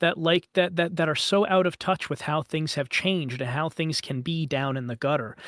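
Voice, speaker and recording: The recording is very clean with a silent background, and the sound is dry and close with no echo. A man with an unremarkable speaking voice and a fairly high pitch talks at a moderate pace, with ordinary pitch variation and hardly any pauses. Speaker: voice coach, voice actor. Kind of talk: casual talk, podcast interview answer.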